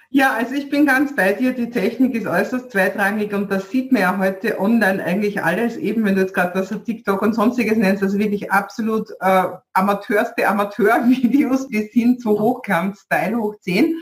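Spoken with a Viennese accent and ordinary pitch variation, the clip carries noticeable background noise. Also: woman, fairly high pitch for a woman, moderate pace. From Vienna, Austria. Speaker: podcast host, online business coach. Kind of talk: interview.

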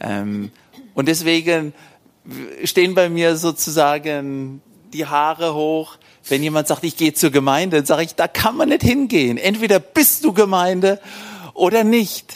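A high-pitched man at a fairly slow pace, with lively intonation. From Germany, Hesse. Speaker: missionary. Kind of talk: church interview.

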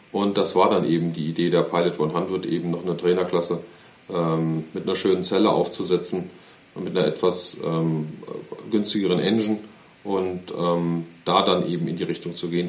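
A man speaks in a flat monotone at a very deep, low pitch and a moderate pace. Noticeable background noise and audible room echo come through. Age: 30s. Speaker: aviation company executive. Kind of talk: interview.

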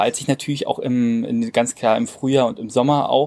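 His dark, mellow tone carries lively intonation as a man speaks at a fairly slow pace. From Brandenburg, Cottbus (eastern Germany). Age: 20s. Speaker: hotel director. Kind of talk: interview. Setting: outdoors. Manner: hesitant, many fillers.

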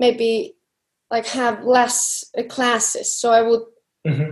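A woman's fairly high voice with an Icelandic accent, at a fairly slow pace. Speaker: CrossFit athlete. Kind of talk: interview.

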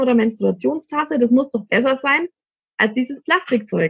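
A high-pitched woman at a moderate pace. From Germany, Middle Franconia (Ansbach). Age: 30s. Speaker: shop owner selling cloth pads. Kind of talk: interview. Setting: studio.

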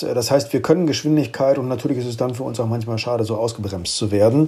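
Noticeable background noise sits behind this man's voice. His intonation stays fairly even. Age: 50s. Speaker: corporate communications head. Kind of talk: interview. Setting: home office remote connection.

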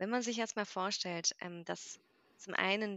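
Here is a woman with a plain, everyday voice at medium pitch. She talks at a fairly slow pace with ordinary pitch variation. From Mainz, Germany. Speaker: yoga teacher. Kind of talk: casual interview.

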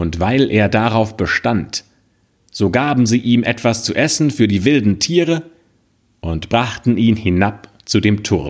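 At a very slow pace, a man with a medium pitch speaks in a dramatic tone with lively intonation. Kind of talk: scripted narration of a fairy tale read aloud. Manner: hushed, slow, suspenseful storyteller tone with dramatic pauses.

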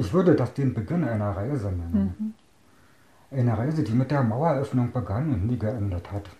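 This man has a medium pitch and a dark, mellow, somewhat breathy tone. He talks at a moderate pace with lively intonation. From Brandenburg, near Berlin. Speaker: deaf eyewitness interviewee, programmer. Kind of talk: reading aloud prepared answers. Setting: at home. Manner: reads out, somewhat unusual sounding.

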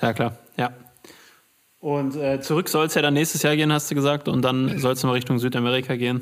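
A man speaks very fast in a fairly high pitch with fairly even intonation and very even loudness. He leaves long, frequent pauses. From Ruhr area, Germany. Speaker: podcast host. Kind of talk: casual interview.

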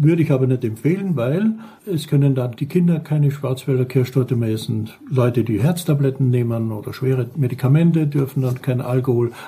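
Here a man talks at a fairly quick pace with hardly any pauses. His voice sits at a medium pitch with ordinary pitch variation. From Austria, Carinthia (Lavanttal). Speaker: pastry chef. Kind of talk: tutorial.

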